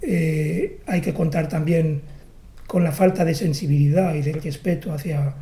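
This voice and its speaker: A man's fairly high voice sounds somewhat breathy, with a dark, mellow tone. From Catalonia, Barcelona. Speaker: poet. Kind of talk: interview. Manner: halting.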